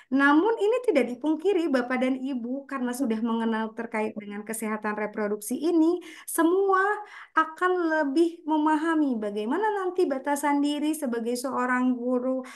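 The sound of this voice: At a moderate pace, a woman speaks in a high voice with lively intonation.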